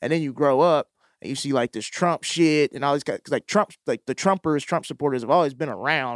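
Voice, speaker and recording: On a very clean recording with a silent background and a dry, close sound with no echo, a man speaks in an ordinary speaking voice, fairly high with ordinary pitch variation, at a fairly quick pace. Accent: American. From Mississippi, US South. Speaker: comedian and TV writer. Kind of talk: casual chat.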